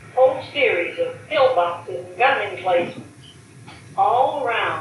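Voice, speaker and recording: A woman's fairly high, lively voice amid noticeable background noise. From New Hampshire. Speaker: retired army nurse. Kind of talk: interview answer.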